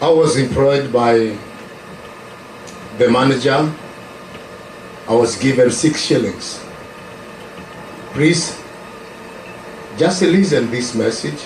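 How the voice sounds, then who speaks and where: This man has a Kenyan accent and a medium-pitched voice, speaking very slowly with long, frequent pauses. The room echo is audible, and there is noticeable background noise. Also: ordinary pitch variation. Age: 70s. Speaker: preacher. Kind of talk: testimony. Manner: halting.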